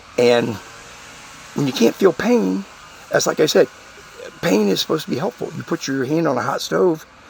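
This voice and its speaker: With long, frequent pauses and noticeable background noise, a man speaks at a moderate pace in a fairly high voice with very wide pitch swings. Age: 50s. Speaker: channel host, former political campaigner. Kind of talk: monologue to viewers. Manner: casual, halting with fillers.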